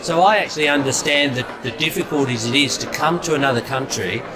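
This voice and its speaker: Audible room echo surrounds a man's voice. Noticeable background noise runs underneath. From England. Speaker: politician. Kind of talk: interview. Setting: community event. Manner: halting, many fillers.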